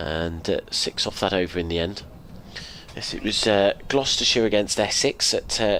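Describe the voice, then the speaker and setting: A man at fairly low pitch, with noticeable background noise. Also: ordinary pitch variation, moderate pace. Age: 60s. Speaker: radio cricket commentator. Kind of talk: live commentary.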